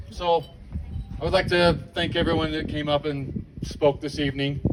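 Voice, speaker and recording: A man with a fairly high pitch and fairly even intonation, at a moderate pace over noticeable background noise. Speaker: memorial event emcee. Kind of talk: memorial event hosting.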